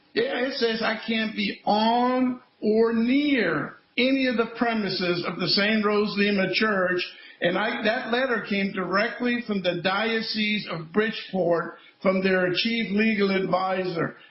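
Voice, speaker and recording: There is noticeable background noise and audible room echo as a man with a high pitch talks at a fairly slow pace. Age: 70s. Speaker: former state trooper and school safety activist. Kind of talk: interview. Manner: animated.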